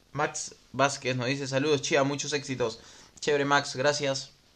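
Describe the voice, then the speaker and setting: A man speaks with a Peruvian accent. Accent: Peruvian Spanish (Lima). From Peru, Lima. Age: 20s. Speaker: motocross racer and podcast host. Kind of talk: casual livestream chat reading viewer comments. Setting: Facebook live stream recorded as podcast, home microphone.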